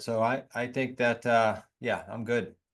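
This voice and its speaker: Against a quiet background, a man talks in a New England accent. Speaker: real estate investor and coach. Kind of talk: podcast interview. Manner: animated.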